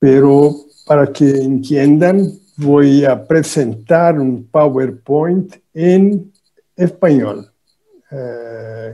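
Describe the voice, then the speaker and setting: Speaking at a very slow pace, a man has a Portuguese accent and a fairly high pitch. His tone is dark and mellow, with ordinary pitch variation. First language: Portuguese (speaking Spanish). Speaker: economics professor. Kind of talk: conference talk. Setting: video call.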